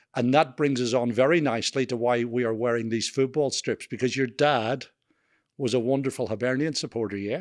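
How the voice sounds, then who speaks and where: Fairly quick male speech with a strong Scottish accent, medium pitch and fairly even intonation, against a quiet background. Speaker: podcast host. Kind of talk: interview. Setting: on camera.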